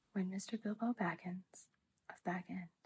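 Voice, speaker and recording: A soft-spoken woman talks with fairly even intonation. Her voice is somewhat breathy. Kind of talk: soft-spoken ASMR book reading, sleep aid. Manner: soft-spoken, relaxing.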